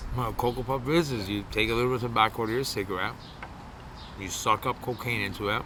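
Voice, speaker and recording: At a very fast pace, a man with a medium-pitched voice speaks with fairly even intonation amid noticeable background noise. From Canada, Toronto. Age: 40s. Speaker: former addict in recovery. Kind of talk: interview testimony. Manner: loud; casual, profane.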